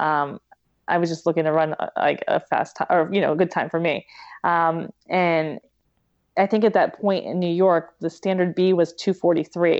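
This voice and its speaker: In an American accent, the speaker talks at a moderate pace with monotone, flat intonation, the sound dry and close with no echo against a quiet background. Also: woman, fairly low pitch for a woman. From western Pennsylvania, Pittsburgh area. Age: 40s. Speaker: elite marathon runner and nurse. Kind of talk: interview conversation.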